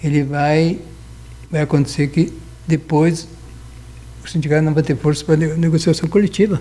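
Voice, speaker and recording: Speaking in a flat monotone at a fairly high pitch, a man keeps a moderate pace broken by long, frequent pauses. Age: 70s. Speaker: lawyer. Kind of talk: interview. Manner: halting.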